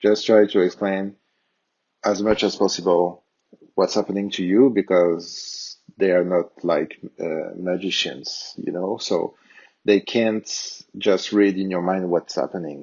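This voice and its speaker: A man's very deep, low voice at a fairly slow pace. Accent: strong French. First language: French. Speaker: tech tutorial youtuber. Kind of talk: tutorial. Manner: hesitant, many fillers.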